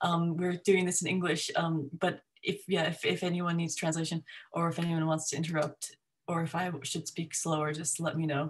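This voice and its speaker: A woman with a fairly low, somewhat breathy voice and an American accent speaks at a moderate pace in a monotone, flat intonation. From US, upstate New York. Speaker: academic geographer. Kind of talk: informal talk to a discussion group.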